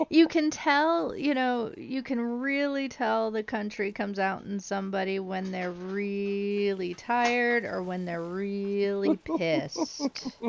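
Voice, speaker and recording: An American-accented woman speaks at a very slow pace with lively intonation. She leaves hardly any pauses. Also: medium pitch for a woman. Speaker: streamer. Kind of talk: casual chat.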